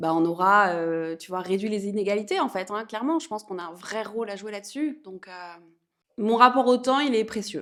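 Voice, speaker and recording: Lively intonation and big swings in loudness mark a woman's animated, fairly quick speech. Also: medium pitch for a woman. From France, Auvergne. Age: 30s. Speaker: entrepreneur, women's empowerment program founder. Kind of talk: interview, casual chat.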